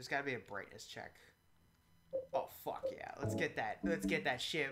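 Moderate pace with music in the background. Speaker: game streamer. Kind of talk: casual chat. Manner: animated.

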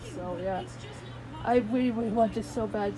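Clear music plays in the background. Over it, a woman is speaking. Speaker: vlogger. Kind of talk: casual vlog chat. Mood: happy, grateful. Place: home room. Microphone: phone near.

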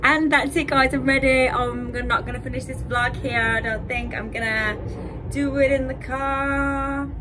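A woman talks fairly slowly, and noticeable background noise runs underneath. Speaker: vlogger. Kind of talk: casual vlog chat. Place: home room. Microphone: phone near.

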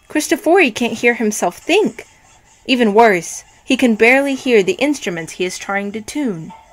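A woman at a fairly high pitch with lively intonation and a moderate pace, music in the background. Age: young. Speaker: pianist and piano teacher. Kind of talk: reading aloud. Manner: expressive.

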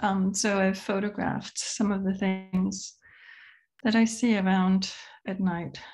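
The voice is somewhat breathy and moves at a very slow pace with monotone, flat intonation. The background is quiet. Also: woman. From Denmark. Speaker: multimedia artist. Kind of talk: artist talk presentation. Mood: calm, reflective. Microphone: video call.

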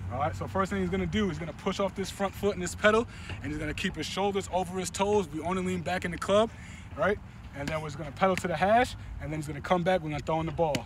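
Very wide pitch swings at a very fast pace, dry and echo-free, with noticeable background noise. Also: man. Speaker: football coach. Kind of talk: tutorial. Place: stadium.

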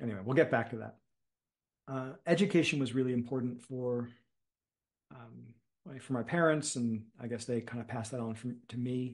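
The speaker has an American accent and a somewhat breathy voice. The pace is moderate, pitch variation is ordinary, and the background is quiet. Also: man, medium pitch for a man. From US Northeast, Philadelphia suburbs; Pennsylvania. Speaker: meditation teacher and community builder; meditation teacher. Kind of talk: casual chat. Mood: relaxed, reflective. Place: home room. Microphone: video call.

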